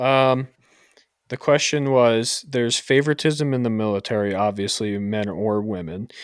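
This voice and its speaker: Recorded very cleanly against a silent background, a man speaks at a medium pitch and a moderate pace with ordinary pitch variation and a slight New York accent. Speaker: podcast host, military service member. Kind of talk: casual chat.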